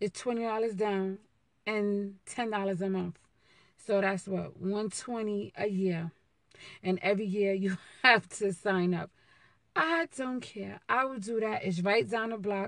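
At a fairly slow pace, a woman speaks with ordinary pitch variation in a dry sound with no echo and a quiet background. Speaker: vlogger. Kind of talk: casual vlog chat. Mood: playful, joking. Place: car. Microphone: phone near.

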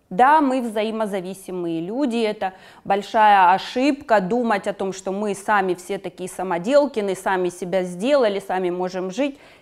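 Against a quiet background, a woman speaks. Her pitch varies in an ordinary way. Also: moderate pace. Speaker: psychotherapist. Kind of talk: interview. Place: studio. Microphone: lapel.

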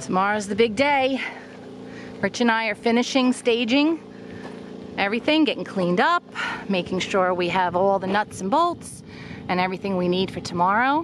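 A woman speaks at a moderate pace with long, frequent pauses. Music plays in the background, and the sound is dry with no echo. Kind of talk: casual vlog chat. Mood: upbeat, excited. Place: open country. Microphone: phone near.

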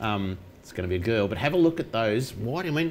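A man's fast, fairly low-pitched voice with a slightly mellow tone and lively intonation

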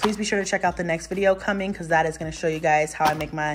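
Clear music sounds behind a woman with a fairly low pitch. Her intonation is fairly even. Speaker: mom vlogger. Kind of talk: casual vlog chat. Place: kitchen. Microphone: phone near.

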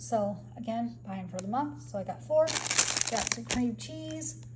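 A fairly slow pace over loud background noise. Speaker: home vlogger. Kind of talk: casual vlog chat. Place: home room. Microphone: phone near.

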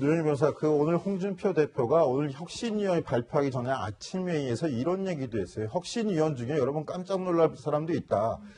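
With hardly any pauses, a man talks at a fairly quick pace and with lively intonation over noticeable background noise. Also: fairly high pitch for a man. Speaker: news anchor. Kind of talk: news panel discussion.

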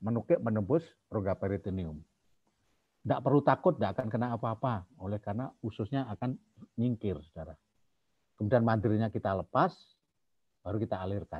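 A man's fairly low, somewhat breathy voice at a very fast pace, with lively intonation, long, frequent pauses, and a quiet background. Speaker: pediatric surgeon; medical lecturer. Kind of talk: lecture. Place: home room. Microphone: webcam.

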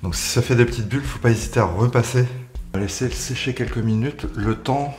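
A man speaks at a fairly quick pace with ordinary pitch variation. Light background noise is present. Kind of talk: tutorial. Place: bathroom.

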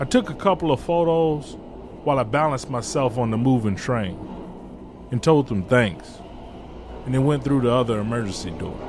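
Over noticeable background noise, a man with an American accent and medium pitch talks at a moderate pace with lively intonation and long, frequent pauses. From Detroit, US Midwest. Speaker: storyteller. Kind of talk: storytelling performance. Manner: measured, narrative.

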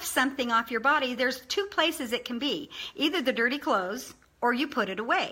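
A woman's high, bright, sharp voice is raised and projected, with an animated tone. She speaks at a fairly quick pace with lively intonation. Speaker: online video presenter. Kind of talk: informal motivational talk. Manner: fast talker. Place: home room. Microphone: webcam.

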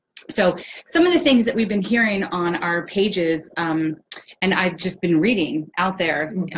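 Over light background noise, a woman with an ordinary speaking voice talks at a moderate pace, her fairly low pitch showing ordinary variation. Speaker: host of support group live Q&A. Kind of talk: hosted live-stream introduction. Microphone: webcam.

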